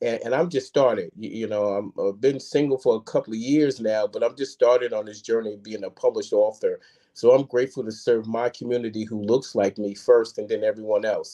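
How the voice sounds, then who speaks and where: A man with a dark, mellow tone and medium pitch speaks at a fairly quick pace with fairly even intonation and hardly any pauses. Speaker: author. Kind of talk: interview podcast conversation. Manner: halting, many repetitions.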